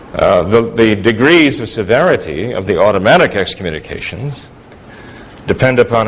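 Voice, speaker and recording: A man speaks at a medium pitch. Noticeable noise runs in the background. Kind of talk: formal debate.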